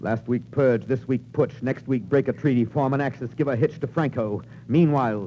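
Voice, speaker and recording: A man speaks in a dramatic tone at a fairly quick pace, his medium-pitched voice dark and mellow with vocal fry. His pitch varies in an ordinary way. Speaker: radio narrator / actor. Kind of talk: vintage radio drama narration, 1940s. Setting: old radio broadcast recording. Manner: dramatic, rhythmic, declamatory.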